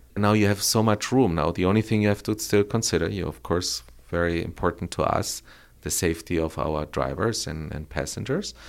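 Over a very clean recording with a silent background, a man speaks with a very deep, low pitch and vocal fry. His intonation is lively and his pace fairly quick. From Colombia (Bogota). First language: Spanish. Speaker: electric car company founder. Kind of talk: interview. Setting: in person on location in Los Angeles. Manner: halting, with repetitions.

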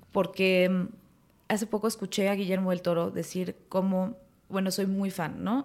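A woman of medium pitch speaks at a moderate pace in an ordinary speaking voice. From Mexico City and Morelos. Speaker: actress. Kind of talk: casual chat.

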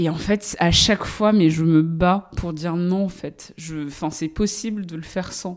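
She speaks at a fairly low pitch and a fairly slow pace. Her intonation stays fairly even. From Paris suburbs, France. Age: 30s. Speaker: journalist and podcast host. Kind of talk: interview. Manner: hesitant, many fillers.

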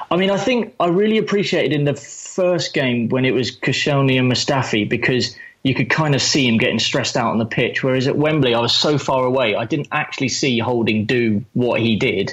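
Speaking at a fairly quick pace, a man has a medium-pitched, somewhat breathy voice with lively intonation and very even loudness. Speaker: football fan. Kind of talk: casual chat.

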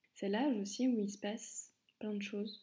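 A woman's somewhat breathy, fairly high voice with monotone, flat intonation. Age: 20s. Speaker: podcaster. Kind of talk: personal monologue.

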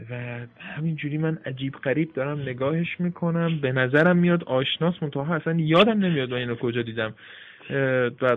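A man's voice has some noticeable noise in the background. His pace is fairly quick, and his pitch moves in an ordinary way. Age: 20s. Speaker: translator and German teacher. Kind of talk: casual interview.

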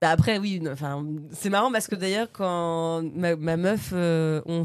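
A woman at a very slow pace, fairly low in pitch with ordinary pitch variation, on a very clean recording with a silent background. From Normandy, France (Bernay). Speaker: comedian. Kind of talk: casual chat.

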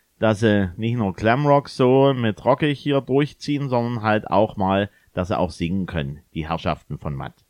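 A man with a fairly low voice speaks at a moderate pace, his pitch swinging very widely. The sound is dry and close with no echo, over a quiet background. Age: 40s. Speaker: DJ and podcast co-host. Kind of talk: casual chat.

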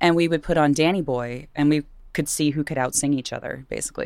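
In an American accent, a woman speaks at a very fast pace with a very deep, low pitch and vocal fry. Her intonation stays fairly even, and the recording is very clean with a silent background. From Virginia, US. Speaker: radio host and singer. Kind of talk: casual interview chat.

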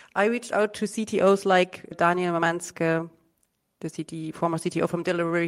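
A woman with a fairly low voice speaks at a moderate pace with fairly even intonation. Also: very clean recording, silent background. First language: not English. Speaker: startup founder. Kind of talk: interview.

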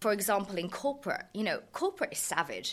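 A woman with a southern English accent, fairly quick and with lively intonation. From southern England, Surrey. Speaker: lawyer and tech founder. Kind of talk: interview. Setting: studio. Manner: animated.

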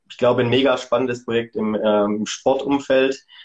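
A man has an unremarkable speaking voice at medium pitch. He talks at a moderate pace with fairly even intonation. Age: 30s. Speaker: events and sponsoring manager at a sports retailer. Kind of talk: interview.

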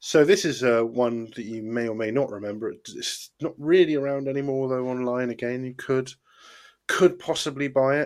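A man speaks in a British accent with ordinary pitch variation and big swings in loudness. The recording is very clean, with a silent background. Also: medium pitch for a man, moderate pace. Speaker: podcast host. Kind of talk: casual banter, comedy review show. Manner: rambling, hesitant, laughs often.

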